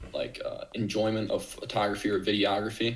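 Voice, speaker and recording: A man with a Midwestern American accent speaks in a fairly low pitch and a flat monotone, with audible room echo. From US Midwest, Chicago suburbs. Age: 20s. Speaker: college student and photography content creator. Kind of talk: casual interview.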